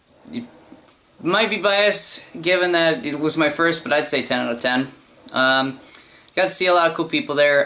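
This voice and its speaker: A man at a moderate pace, ordinary pitch variation, noticeable background noise. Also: fairly high pitch for a man. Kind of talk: casual talk to camera. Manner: hesitant, many fillers.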